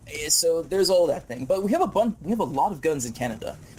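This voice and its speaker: Over music in the background, the speaker talks loudly at a very fast pace with lively intonation. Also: man. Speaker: gaming YouTuber. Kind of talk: casual chat during gameplay. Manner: halting.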